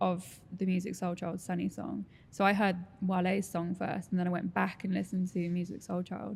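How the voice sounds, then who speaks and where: Vocal fry runs through a monotone, flat delivery. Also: woman, fairly low pitch for a woman, moderate pace. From England, near Norwich. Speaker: podcast host. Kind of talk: casual interview chat.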